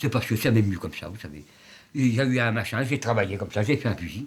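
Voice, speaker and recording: A man's somewhat breathy, medium-pitched voice, very fast and lively in intonation. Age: 70s. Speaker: outsider artist, psychiatric hospital resident. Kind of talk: interview. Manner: halting.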